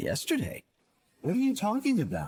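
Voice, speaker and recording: In a put-on character voice with an extremely high pitch, a man speaks at a moderate pace. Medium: fan dub. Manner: casual, breezy.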